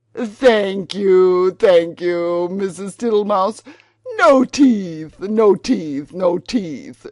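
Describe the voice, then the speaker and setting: A female-sounding put-on character voice speaks at a middle pitch. It moves at a very slow pace against a quiet background. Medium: read story. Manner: smiling, repetitive, unhurried.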